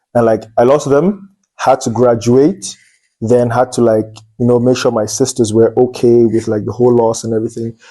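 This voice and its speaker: A man's medium-pitched voice with a Cameroonian accent, a dark, mellow tone, fairly even intonation and a moderate pace. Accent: Nigerian-sounding Cameroonian English. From Anglophone Cameroon, near Nigeria. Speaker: medical student. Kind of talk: interview.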